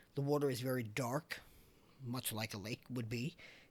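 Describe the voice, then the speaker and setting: This man has a Long Island accent. His intonation stays fairly even. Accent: Long Island New York. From Long Island, New York (Islip, Suffolk County). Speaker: podcast host. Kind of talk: casual podcast storytelling. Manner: conversational, frequent um and uh fillers.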